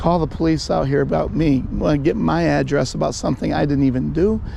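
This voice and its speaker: A man talks at a medium speed, with noticeable noise in the background. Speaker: street preacher. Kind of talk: confrontation with police. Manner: halting.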